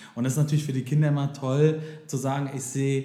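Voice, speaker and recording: A man's voice carries noticeable background noise along with audible room echo. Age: 30s. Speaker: daycare center director and singer. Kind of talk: interview.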